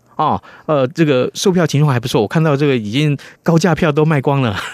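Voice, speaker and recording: A man's fairly high voice comes at a moderate pace, dry and close with no echo. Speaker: radio host. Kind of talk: radio interview and news review. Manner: animated, expressive.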